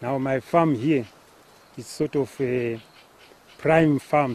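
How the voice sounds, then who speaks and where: A man at a fairly high pitch and a very slow pace, with noticeable background noise. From Zimbabwe (Gutu). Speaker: farmer. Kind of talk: interview testimony. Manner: halting.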